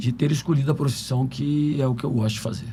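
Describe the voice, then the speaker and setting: A man's dark, mellow, somewhat breathy voice at medium pitch, with ordinary pitch variation. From Brazil, São Paulo and Minas Gerais. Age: 70s. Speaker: physician. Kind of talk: podcast interview.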